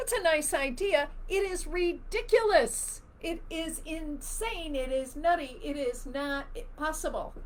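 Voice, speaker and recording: This speaker has an American accent and lively intonation, talking at a fairly slow pace with audible room echo. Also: woman, extremely high pitch for a woman. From US Midwest, Chicago. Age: 60s. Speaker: spiritual teacher. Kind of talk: live Q&A stream. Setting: live video stream. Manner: animated.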